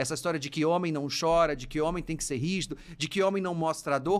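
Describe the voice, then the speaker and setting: A man speaks at a fairly high pitch and a fairly quick pace, his tone animated. The recording is very clean, with a silent background. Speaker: psychologist and university professor podcast host. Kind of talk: casual advice podcast monologue. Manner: very fast speech; animated, gesturing.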